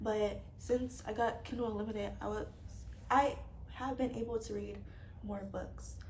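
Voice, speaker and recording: A woman talks at a fairly slow pace, with audible room echo in the recording. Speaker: book vlogger. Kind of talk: casual chat. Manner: hesitant, many fillers.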